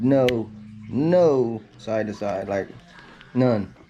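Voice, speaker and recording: A man speaks at a medium pitch, with noticeable background noise behind him. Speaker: RC car YouTuber. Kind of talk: hands-on product tutorial. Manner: fast; casual.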